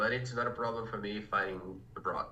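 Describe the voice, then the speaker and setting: Speaking with a Portuguese accent and fairly even intonation, a man is heard through noticeable background noise and audible room echo. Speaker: interpreter. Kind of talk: interpreting.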